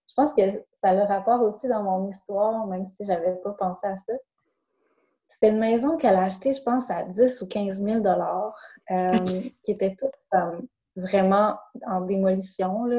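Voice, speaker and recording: A woman with a Saguenay accent speaks at a moderate pace in a medium pitch, her somewhat breathy voice having a dark, mellow tone, ordinary pitch variation, and long, frequent pauses. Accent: Quebec French (Saguenay). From Quebec, Saguenay. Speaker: life coach. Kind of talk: interview. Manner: hesitant, many fillers.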